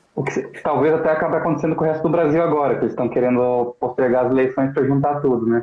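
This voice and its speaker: Talking very fast with hardly any pauses, a man uses a fairly high pitch, fairly even intonation and very even loudness, with audible room echo. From Brazil, Santa Catarina (Joinville); Santa Catarina, Brazil. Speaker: political movement spokesman, live show host. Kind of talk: casual live-stream interview. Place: home room. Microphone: video call.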